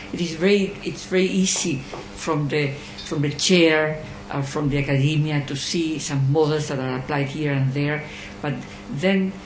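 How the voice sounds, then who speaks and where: The speaker has a Spanish accent and a moderate pace. Noticeable background noise is present. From Chile. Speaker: audience member asking a question. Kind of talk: Q&A question after lecture. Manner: halting, many hesitations.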